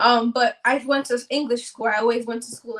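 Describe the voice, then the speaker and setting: A woman in a New York accent, fairly high-pitched and fairly quick. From New York City (Manhattan), Dominican-born. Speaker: content creator. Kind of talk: casual interview. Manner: fast.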